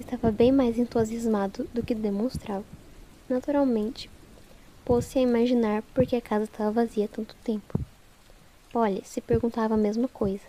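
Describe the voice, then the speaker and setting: A woman with a fairly high pitch and a dark, mellow tone talks at a moderate pace in a monotone, flat intonation, leaving long, frequent pauses. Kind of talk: ASMR audiobook reading with rain sounds. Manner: soft-spoken, soothing, relaxing.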